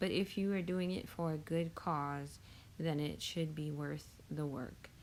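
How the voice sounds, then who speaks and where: This woman's voice has a very deep, low pitch and fairly even intonation. Audible room echo surrounds it. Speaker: YouTube tutorial creator. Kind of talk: tutorial.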